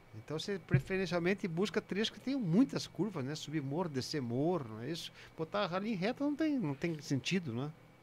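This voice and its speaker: Talking at a fairly quick pace, a man makes very wide pitch swings. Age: 50s. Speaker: retired racing driver. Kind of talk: casual chat.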